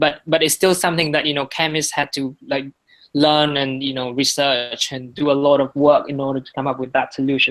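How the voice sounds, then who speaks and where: Someone speaks at a fairly quick pace with a Vietnamese accent. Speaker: guest speaker on marketing projects. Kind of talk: presentation. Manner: halting, many repetitions.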